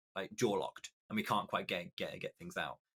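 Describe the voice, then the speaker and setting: A man with a British accent speaks at a fairly quick pace. His bright, sharp tone is recorded dry and close, with no echo. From Britain. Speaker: esports commentator. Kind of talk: podcast interview. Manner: halting.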